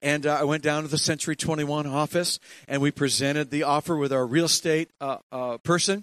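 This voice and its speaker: Fairly quick and fairly high-pitched, a man speaks. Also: dry, close sound with no echo. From Ontario, Canada. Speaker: pastor. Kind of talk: sermon. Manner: animated.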